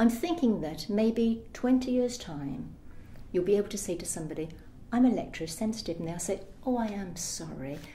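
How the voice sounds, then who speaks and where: In a room with audible echo, a woman speaks at a moderate pace with very wide pitch swings and big swings in loudness. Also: medium pitch for a woman. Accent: British. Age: 60s. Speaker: interviewee with electrosensitivity. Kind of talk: testimony.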